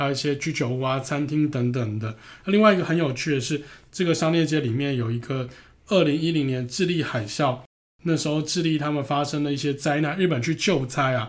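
This man has a plain, everyday voice, pitched fairly high. He talks at a fairly quick pace with ordinary pitch variation. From Taiwan. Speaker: podcast host, architecture travel enthusiast. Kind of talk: casual travel chat.

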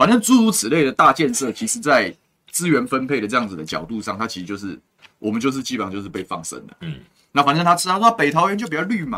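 This voice races along very fast with vocal fry, a bright, sharp tone, very wide pitch swings and big swings in loudness. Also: man, fairly high pitch for a man. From Taiwan, Taoyuan. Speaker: city councillor. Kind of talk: political interview chat. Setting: studio live stream.

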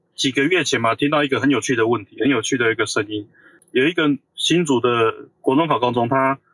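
A man talks in an ordinary speaking voice at a medium pitch with ordinary pitch variation. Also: fairly quick pace. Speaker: semiconductor industry engineer. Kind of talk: casual chat.

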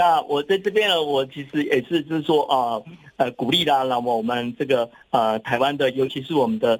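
A man speaks in an unremarkable speaking voice at a moderate pace. His fairly high pitch shows ordinary variation. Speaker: professor. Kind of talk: interview.

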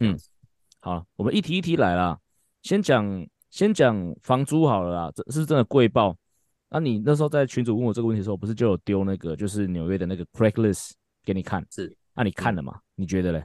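A man with a fairly low pitch talks at a very fast pace with lively intonation. The sound is dry and close with no echo, and the background is quiet. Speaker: baseball fitness coach and podcast host. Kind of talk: casual chat.

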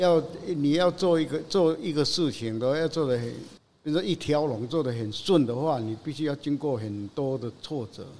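Using a plain, everyday voice, a man speaks at a moderate pace and a fairly high pitch, with ordinary pitch variation. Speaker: lion head artist and dental technician. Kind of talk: casual interview.

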